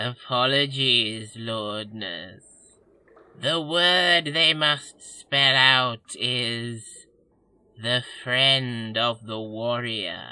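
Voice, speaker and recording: Speaking at a very slow pace, this put-on character voice sits at a low-to-middle pitch. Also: quiet background. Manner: obsequious, gushing, over-excited.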